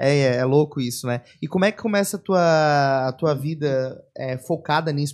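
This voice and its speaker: A man speaks with a somewhat breathy, fairly high voice against a quiet background. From São Paulo, Brazil. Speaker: podcast host. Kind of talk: casual interview. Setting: studio.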